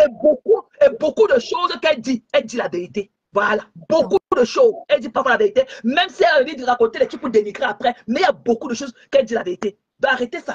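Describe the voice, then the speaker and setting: A woman speaks very fast in a high pitch, her animated tone marked by very wide pitch swings and big swings in loudness, with a dry, close sound and no echo. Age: 60s. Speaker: social media live streamer. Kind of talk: heated rant on a live stream. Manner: animated, repetitive.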